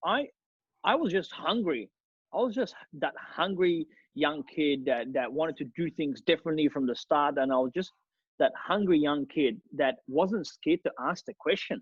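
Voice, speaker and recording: A man with a non-native accent speaks in a fairly high voice. His tone is energetic and his intonation lively. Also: moderate pace. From Australia (Melbourne), after a war-torn childhood country. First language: not English. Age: 30s. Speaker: real estate agent. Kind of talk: interview.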